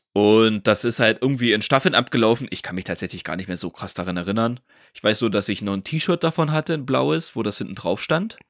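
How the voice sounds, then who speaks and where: A man talks at a fairly quick pace, his pitch swinging very widely. The recording is very clean with a silent background, and the sound is dry and close with no echo. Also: medium pitch for a man. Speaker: podcast co-host. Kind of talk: casual chat.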